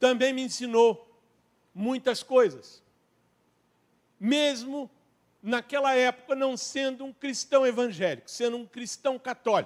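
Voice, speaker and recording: Fairly slow and broken by long, frequent pauses, a man speaks at an extremely high pitch with fairly even intonation and big swings in loudness. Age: 60s. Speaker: lay preacher. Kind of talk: sermon. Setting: church.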